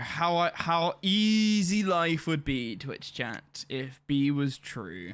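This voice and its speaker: A man's high-pitched, animated voice with a British accent, bright and sharp in tone, with lively intonation, on a very clean recording with a silent background. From England. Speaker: gaming streamer. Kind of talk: live stream commentary.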